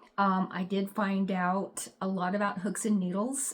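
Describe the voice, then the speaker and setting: Somewhat breathy, a woman speaks at a medium pitch in a flat monotone. Her pace is fairly slow. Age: 60s. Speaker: crochet vlogger. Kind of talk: casual chat. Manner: hesitant, many fillers.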